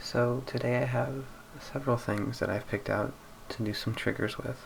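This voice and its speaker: Over noticeable background noise, a soft-spoken man talks at a moderate pace with fairly even intonation. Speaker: ASMR gaming commentator. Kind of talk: ASMR gameplay commentary.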